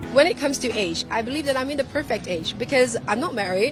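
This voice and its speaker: A woman speaks over noticeable background noise. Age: 30s. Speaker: politician; former TV presenter and radio jockey. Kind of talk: interview answer.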